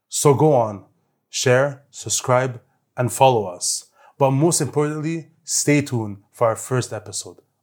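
A man of medium pitch speaks at a fairly slow pace with ordinary pitch variation, captured on a very clean recording with a silent background. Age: 20s. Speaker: podcast host. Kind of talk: scripted trailer narration.

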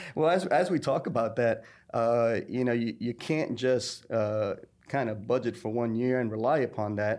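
Over a quiet background, a normal speaking voice with an American accent moves at a moderate pace. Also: man. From New York. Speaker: podcast co-host. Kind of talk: casual interview chat. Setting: recording studio.

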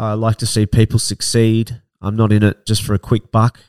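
A man with an Australian accent speaks at a medium pitch, the sound dry and close with no echo. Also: very clean recording, silent background. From Australia, Victoria (Barwon Heads / Ocean Grove, near Melbourne). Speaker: podcast host, property investment professional. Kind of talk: solo introductory monologue.

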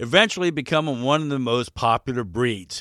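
This man speaks at a fairly quick pace and medium pitch in a bright, sharp tone. The recording is very clean and dry, close with no echo, with a silent background. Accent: American. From Baltimore, Maryland, US. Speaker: dog ranch manager and podcast host. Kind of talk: scripted informational narration.

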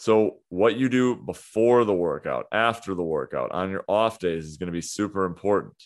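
A man with an ordinary speaking voice talks at a moderate pace. His pitch is fairly low, with ordinary pitch variation. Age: 30s. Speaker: fitness coach and podcast host. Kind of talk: solo podcast monologue. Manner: casual, with frequent fillers.

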